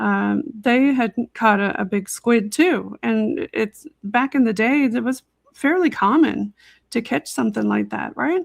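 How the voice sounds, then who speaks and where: A woman at a fairly slow pace, in a dry, close sound with no echo. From Newfoundland, Canada. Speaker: podcast host. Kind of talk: casual podcast conversation.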